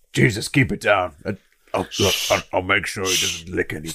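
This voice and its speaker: A man's put-on character voice, very deep and low in pitch, at a moderate pace. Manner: dry, sarcastic, impatient.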